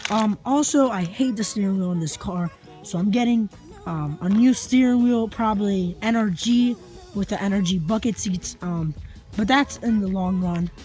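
Faint music plays behind a woman whose voice has ordinary pitch variation, recorded dry with no echo. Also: moderate pace. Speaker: car owner vlogger. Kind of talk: casual vlog chat. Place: street. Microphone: phone near.

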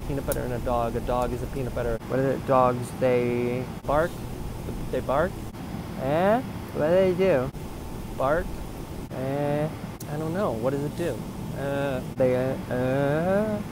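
Over noticeable background noise, a man talks at a fairly slow pace with long, frequent pauses and ordinary pitch variation, the sound dry with no echo. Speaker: comedian playing two characters. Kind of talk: comedy sketch dialogue. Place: plane. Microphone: earbuds.

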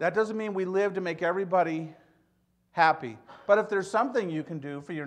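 A man with an American accent, moderate pace, ordinary pitch variation, quiet background. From US Midwest (Michigan). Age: 70s. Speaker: pastor. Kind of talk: sermon. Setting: church. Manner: conversational, humorous. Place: church. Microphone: podium.

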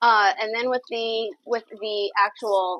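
A woman's voice in a dry sound with no echo. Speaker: home cook host. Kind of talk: tutorial. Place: kitchen.

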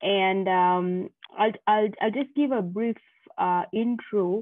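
Against a quiet background, a woman talks at a fairly slow pace with ordinary pitch variation and a dry sound with no echo. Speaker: speaker. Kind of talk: presentation intro talk. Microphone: video call.

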